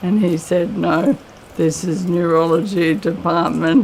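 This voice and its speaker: Speaking at a very slow pace and a fairly low pitch, a woman is heard over noticeable background noise. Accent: Australian. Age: 50s. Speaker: person living with motor neurone disease. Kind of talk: testimony.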